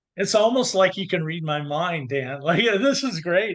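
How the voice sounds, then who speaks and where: A man with an American accent, high pitch, lively intonation and a moderate pace. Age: 60s. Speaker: confidence coach. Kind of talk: podcast interview.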